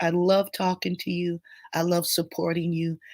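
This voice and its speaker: Here a woman speaks in a medium pitch at a fairly slow pace. The recording is very clean, with a silent background. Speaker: grief coach. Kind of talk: live stream Q&A.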